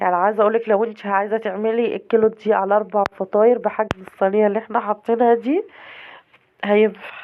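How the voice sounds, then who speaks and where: A woman speaks at a fairly quick pace with a fairly high pitch. Her intonation is monotone and flat, and her loudness stays very even. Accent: Egyptian. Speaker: cooking channel host. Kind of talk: cooking tutorial. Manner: casual, chatty.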